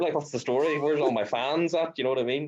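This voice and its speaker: Talking very fast, a man speaks with an Irish accent. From rural Ireland. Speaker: social media creator. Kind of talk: casual chat.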